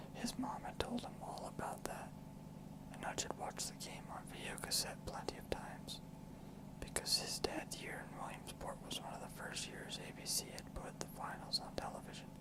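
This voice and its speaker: A whispered voice. Background noise is noticeable. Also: moderate pace. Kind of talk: whispered ASMR book reading. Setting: studio, close microphone.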